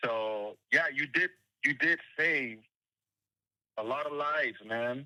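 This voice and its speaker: The speech moves at a very slow pace, with a dry, close sound and no echo. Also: man. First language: Spanish. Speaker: caller. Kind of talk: phone call.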